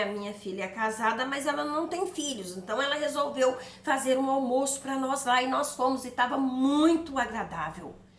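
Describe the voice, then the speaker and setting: A woman's high-pitched voice comes through noticeable background noise and audible room echo. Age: 60s. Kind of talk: personal testimony. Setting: video to camera.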